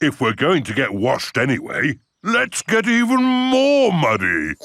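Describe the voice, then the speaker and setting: At a moderate pace, a man uses a cartoonish character voice pitched high. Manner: jolly, good-humoured.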